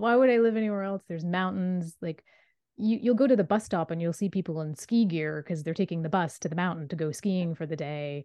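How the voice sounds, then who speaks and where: A woman with a plain, everyday voice speaks at a fairly low pitch. Her intonation is lively. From Nova Scotia, Canada. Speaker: author. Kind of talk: interview.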